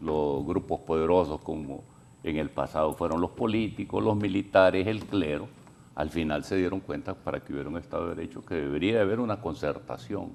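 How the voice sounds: A man talks at a fairly quick pace with few pauses, his pitch low with ordinary variation. His voice has vocal fry and a slightly mellow tone.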